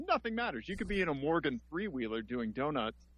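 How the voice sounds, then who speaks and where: Here is a man with a Missouri accent. His intonation is lively. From US Midwest, Missouri. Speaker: podcast host. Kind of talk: casual chat. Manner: halting.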